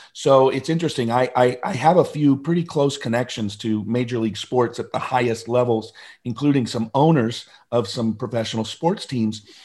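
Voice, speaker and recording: Recorded very cleanly with a silent background, a man with an American accent uses an ordinary speaking voice at medium pitch, with ordinary pitch variation and a moderate pace. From US Pacific Northwest, Seattle area. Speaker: motivational speaker and author. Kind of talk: interview.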